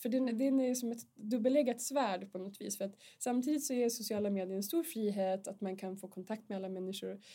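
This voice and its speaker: A woman's somewhat breathy, dark, mellow voice, fairly high in pitch, at a fairly quick pace. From northern Sweden. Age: 40s. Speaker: mature student. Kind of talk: casual chat.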